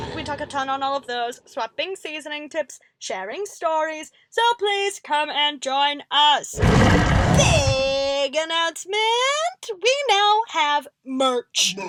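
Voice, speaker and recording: A woman's put-on character voice, high in pitch, with lively intonation at a fairly slow pace. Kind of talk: video host outro to fans. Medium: audio drama. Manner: upbeat, energetic.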